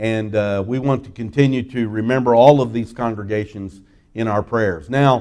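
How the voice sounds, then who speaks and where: At a moderate pace, a man speaks with a dark, mellow tone, medium pitch and fairly even intonation. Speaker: missionary. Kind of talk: seminar presentation. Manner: soft-spoken.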